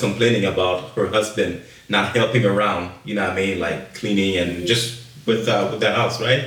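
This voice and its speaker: A man speaks with a French accent at a moderate pace. Noticeable background noise can be heard behind him. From Montreal, Quebec; Haitian family. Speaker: podcast guest, churchgoer. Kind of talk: casual chat. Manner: animated, repetitive.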